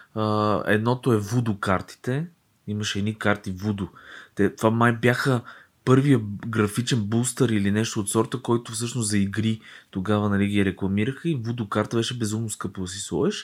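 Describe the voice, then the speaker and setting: On a very clean recording with a silent background, a man speaks in an unremarkable speaking voice at fairly low pitch. His pace is moderate and his intonation fairly even. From Bulgaria, Dragoman. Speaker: podcast co-host, designer. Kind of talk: casual chat.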